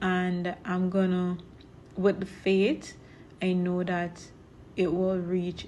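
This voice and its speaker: A woman is speaking. She has a Jamaican accent. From Jamaica, Portland parish. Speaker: vlogger and farmer. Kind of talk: casual vlog narration.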